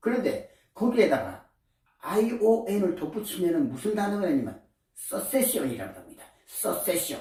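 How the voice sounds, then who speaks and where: A man with a high pitch and a dark, mellow tone speaks at a fairly slow pace. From Korea. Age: 80s+. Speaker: artist, painter, musician, writer and lecturer. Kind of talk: casual talk to camera, life lecture. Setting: small art studio.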